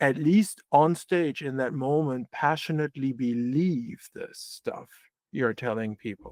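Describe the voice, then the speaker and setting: A man speaks with a German accent at a fairly slow pace, his pitch fairly high with ordinary variation. The recording is very clean with a silent background, and the sound is dry and close with no echo. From Germany. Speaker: philosopher. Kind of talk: interview conversation. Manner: halting.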